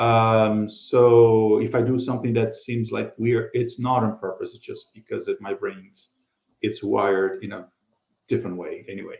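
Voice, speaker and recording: A man with a Brazilian Portuguese accent at a moderate pace, with big swings in loudness. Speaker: podcast co-host. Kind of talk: casual chat.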